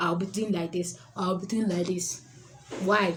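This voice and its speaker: Audible room echo surrounds a woman speaking at a fairly quick pace, with medium pitch and ordinary pitch variation. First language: not English. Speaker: public speaking coach. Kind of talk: tutorial.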